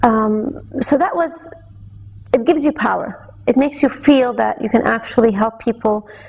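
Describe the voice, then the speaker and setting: Over noticeable background noise, a woman speaks with fairly high pitch. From Saudi Arabia. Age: young. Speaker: television host. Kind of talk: interview.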